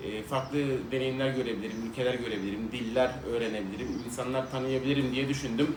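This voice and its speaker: The man talks at a fairly quick pace. There is noticeable background noise along with audible room echo. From Turkey (İzmir). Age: 30s. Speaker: vlogger. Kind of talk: casual chat. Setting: at home. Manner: conversational.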